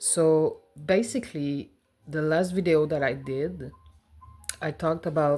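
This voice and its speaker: A woman with a Quebec accent at a fairly slow pace, ordinary pitch variation, music in the background. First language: French. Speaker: personal finance vlogger. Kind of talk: casual vlog. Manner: hesitant, with fillers.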